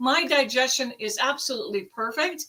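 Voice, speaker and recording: A woman projects a raised voice at a high pitch. Her tone is animated. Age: 60s. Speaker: product user sharing results. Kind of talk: testimony.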